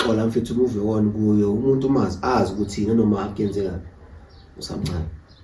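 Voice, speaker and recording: The speech moves at a very fast pace with fairly even intonation. Noticeable background noise and audible room echo are present. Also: man, fairly low pitch for a man. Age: young. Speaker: podcast guest. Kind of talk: casual chat. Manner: calm.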